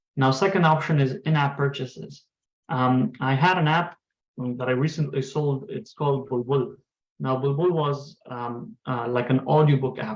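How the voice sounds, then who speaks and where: Here a man speaks with a fairly high pitch. His voice is somewhat breathy. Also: ordinary pitch variation, moderate pace. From Afghanistan. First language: Pashto and Farsi. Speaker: tech entrepreneur. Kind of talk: lecture.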